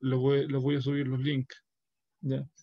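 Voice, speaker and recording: Someone with a Chilean accent speaks at a fairly slow pace in a monotone, flat intonation. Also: man. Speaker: university professor. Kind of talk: lecture. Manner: halting.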